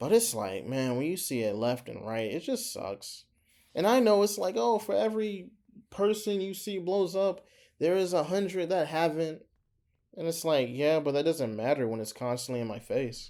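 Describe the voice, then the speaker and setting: This man's dark, mellow voice sits fairly high, swinging very widely in pitch at a moderate pace. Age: 20s. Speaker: small YouTuber. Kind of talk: casual vlog monologue. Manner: halting, hesitant.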